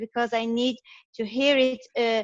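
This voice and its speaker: A woman's high-pitched voice at a fairly slow pace, dry and close with no echo. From France. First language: French. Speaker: retreat participant. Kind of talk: question from audience. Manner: halting.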